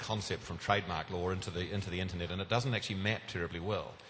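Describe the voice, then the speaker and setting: A man with a New Zealand accent speaks at a very fast pace. His voice is fairly low in pitch and somewhat breathy. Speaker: domain industry panelist. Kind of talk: panel discussion. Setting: conference stage with audience.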